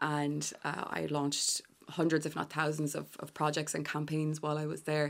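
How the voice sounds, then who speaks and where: Against a silent background in a very clean recording, a woman with a west of Ireland accent speaks at a moderate pace in a very deep, low pitch with monotone, flat intonation. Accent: west of Ireland Irish. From Ireland, Galway. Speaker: fashion and digital executive. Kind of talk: radio interview. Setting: radio studio.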